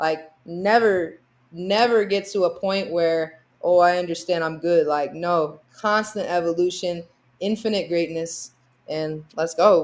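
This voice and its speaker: In a very clean recording with a silent background, a woman with an American accent talks at a fairly slow pace in a fairly low voice, an unremarkable speaking voice with ordinary pitch variation. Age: young. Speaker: basketball player. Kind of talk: podcast interview.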